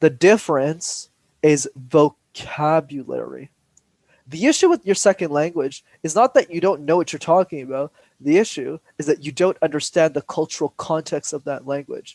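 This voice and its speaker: A man with a Montreal accent, fairly high in pitch and animated in tone, in a dry, close sound with no echo. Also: ordinary pitch variation, moderate pace. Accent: Canadian English (Montreal). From Montreal, Quebec. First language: Tamil. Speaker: public speaking coach. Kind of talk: interview.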